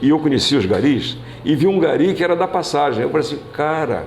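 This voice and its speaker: A fairly high-pitched man at a moderate pace, with noticeable background noise and audible room echo. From Brazil, Cabo Frio (Rio de Janeiro state). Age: 80s+. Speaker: former mayor, politician. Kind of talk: interview. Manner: halting, frequent repetitions.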